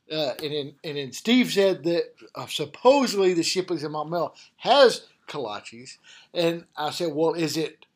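A man with a Southern US accent, high-pitched for a man, at a moderate pace with lively intonation, in a very clean recording with a silent background. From Arkansas. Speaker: college football head coach. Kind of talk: casual chat.

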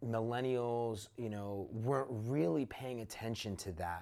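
A man with an American accent, medium in pitch, with ordinary pitch variation, a fairly slow pace and an ordinary speaking voice. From Newark, New Jersey. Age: 30s. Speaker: entrepreneur. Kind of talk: interview.

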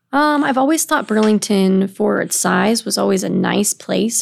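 A woman speaks at a moderate pace in a Midwestern American accent. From Illinois, Quad Cities (East Moline). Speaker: workforce program manager, former teacher. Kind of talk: interview conversation.

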